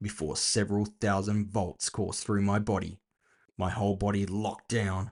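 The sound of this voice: An unforced voice reads aloud against a quiet background.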